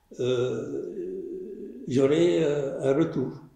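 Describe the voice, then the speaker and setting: A man's somewhat breathy, dark and mellow voice with audible room echo. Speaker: filmmaker and storyteller. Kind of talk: post-screening interview. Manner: soft-spoken.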